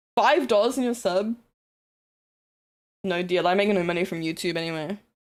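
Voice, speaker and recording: A woman speaks in a New Zealand accent with an animated tone and lively intonation. Her pace is moderate. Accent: Kiwi. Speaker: streamer. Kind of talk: casual livestream chat.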